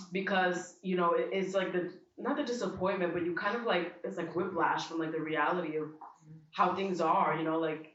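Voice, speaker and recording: With audible room echo, a woman speaks in a fairly low pitch at a moderate pace, her intonation fairly even. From US, Dominican family. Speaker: event attendee interviewee. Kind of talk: casual interview. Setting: art exhibition event.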